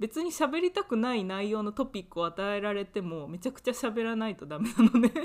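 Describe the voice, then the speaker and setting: Speaking fairly quickly with hardly any pauses, a woman with an ordinary speaking voice pitched fairly high uses lively intonation and big swings in loudness. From Japan. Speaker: podcast co-host, university student. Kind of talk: casual chat.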